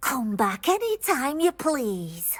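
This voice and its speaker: A put-on character voice, female-sounding and high-pitched, with very wide pitch swings. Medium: video game. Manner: refers to herself in third person.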